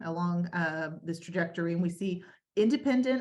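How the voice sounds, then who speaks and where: A somewhat breathy woman's voice at a medium pitch, with ordinary pitch variation. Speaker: senior living community staff presenter. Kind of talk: webinar presentation. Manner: fast.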